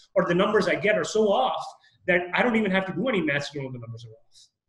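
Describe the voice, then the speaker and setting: A man talks very fast at a high pitch, his voice swinging very widely up and down with a bright, sharp tone. The background is quiet, though room echo is audible. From Canada. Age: young. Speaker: real estate investor. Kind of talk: interview. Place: office. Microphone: video call.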